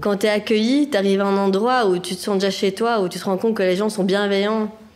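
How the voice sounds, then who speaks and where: With noticeable background noise behind her, a woman talks fairly quickly at a medium pitch, varying it in an ordinary way. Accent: strong Brussels. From Belgium, Brussels (Anderlecht). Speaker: social welfare office employee. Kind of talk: casual chat. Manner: animated.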